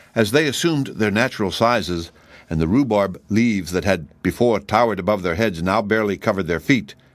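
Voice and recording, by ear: Natural-voiced reading aloud with ordinary variation in pitch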